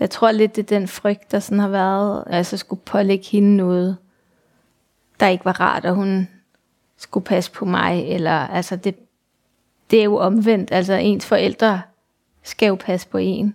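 A woman talks fairly slowly in a flat, monotone voice. Long pauses come often. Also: medium pitch for a woman. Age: 40s. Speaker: mother with multiple sclerosis. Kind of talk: personal testimony interview. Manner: halting, many fillers.

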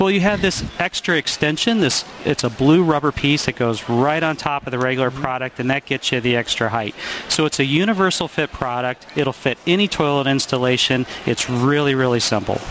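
A man talks at a fairly quick pace with a fairly high pitch and ordinary pitch variation. There is noticeable background noise. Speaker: product expert. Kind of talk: product interview. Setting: trade show floor.

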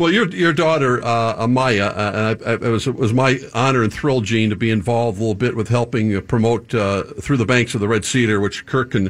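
In an unremarkable speaking voice, a man of medium pitch speaks at a moderate pace with ordinary pitch variation, very even loudness and hardly any pauses. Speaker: sports broadcaster host. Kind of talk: sports interview.

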